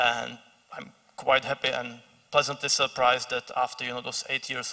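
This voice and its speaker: A man with a Czech accent, medium pitch and a fairly quick pace, against a quiet background. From Czech Republic. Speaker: think tank analyst; speaker. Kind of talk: panel discussion. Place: stage. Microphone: handheld.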